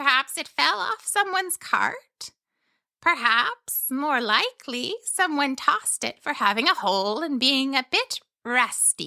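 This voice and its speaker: With a cheerful tone, a woman does a put-on character voice at high pitch, swinging very widely in pitch at a fairly slow pace. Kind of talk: bedtime story. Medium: read story. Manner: cheerful, chatty, wondering.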